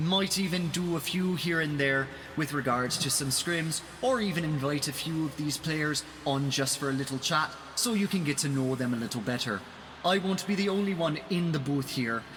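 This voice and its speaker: A man with an Irish accent speaks in a fairly high pitch. His loudness stays very even, with noticeable background noise behind him. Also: ordinary pitch variation, moderate pace. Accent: Irish accent put on more than usual today. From Ireland. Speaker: esports commentator. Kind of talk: live commentary. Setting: live stream. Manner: animated.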